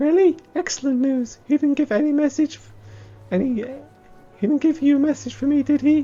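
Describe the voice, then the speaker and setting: A high-pitched, put-on character voice at a fairly quick pace, over faint background music. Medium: solo performance. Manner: chatty, exclamatory.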